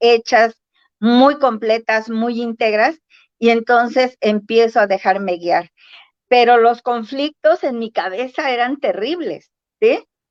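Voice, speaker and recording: Speaking very slowly, a woman with a fairly high pitch and ordinary pitch variation is recorded with a dry, close sound and no echo. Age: 60s. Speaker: spiritual practitioner guest. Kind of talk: casual interview chat. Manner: halting, many fillers.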